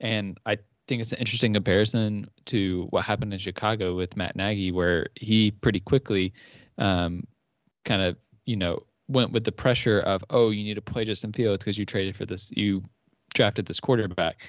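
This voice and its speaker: A man talks in a plain, everyday voice with an American accent and a fairly low pitch. His pace is moderate and his intonation fairly even. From Georgia, US South. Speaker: NFL analyst panelist. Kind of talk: casual sports talk show.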